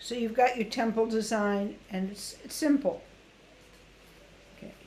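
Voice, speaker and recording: Her voice is fairly high for a woman and somewhat breathy. She speaks at a fairly slow pace, with big swings in loudness. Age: 70s. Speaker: Odissi dance teacher and researcher. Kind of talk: webinar lecture with costume demonstration. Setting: video call webinar. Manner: conversational, hesitant fillers.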